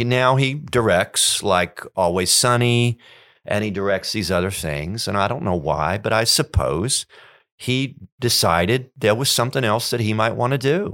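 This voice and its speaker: On a very clean recording with a silent background, a man of medium pitch speaks at a moderate pace with lively intonation. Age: 50s. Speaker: songwriter. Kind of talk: casual chat. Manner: halting.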